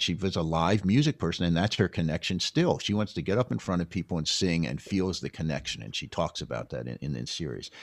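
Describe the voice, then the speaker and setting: With an American accent, a man speaks in a very deep, low voice with vocal fry on a very clean recording with a silent background. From US Northeast, Philadelphia or New York area. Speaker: documentary filmmaker. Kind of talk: interview, casual conversation. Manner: halting, many repeated starts.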